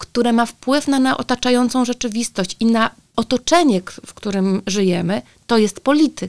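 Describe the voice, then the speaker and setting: In an unremarkable speaking voice, a woman talks at a fairly high pitch with ordinary pitch variation, the sound dry and close with no echo. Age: 40s. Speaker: teacher and sex educator. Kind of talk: casual chat.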